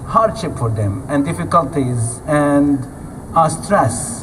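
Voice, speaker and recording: Noticeable background noise sits beneath speech delivered at a very slow pace. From Gaza, Palestine. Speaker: activist speaker. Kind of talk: speech to audience.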